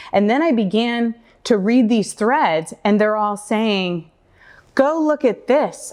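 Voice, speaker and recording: A woman with an American accent speaks fairly slowly, her pitch fairly high. Her intonation is lively, and the background is quiet. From Oregon, USA. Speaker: community advocate, public speaker. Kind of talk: live stage talk. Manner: light-hearted, gently humorous.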